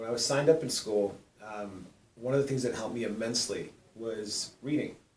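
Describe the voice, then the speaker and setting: A man's medium-pitched voice moves at a fairly quick pace with fairly even intonation. His loudness swings widely, and there is noticeable background noise. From Southern California (South Gate). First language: Spanish. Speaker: middle school English teacher. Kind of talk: testimony.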